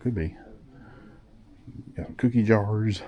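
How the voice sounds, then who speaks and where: A man speaks with a very deep, low pitch. His tone is dark and mellow, and somewhat breathy. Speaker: vlogger. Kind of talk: walking tour vlog. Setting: indoors in antique mall. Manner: casual, enthusiastic.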